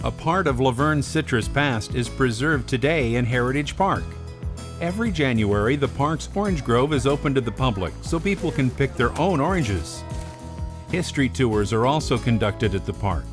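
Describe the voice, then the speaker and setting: With music in the background, a man at medium pitch speaks at a moderate pace, his loudness very even while his pitch swings very widely. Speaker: voice actor. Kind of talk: documentary narration.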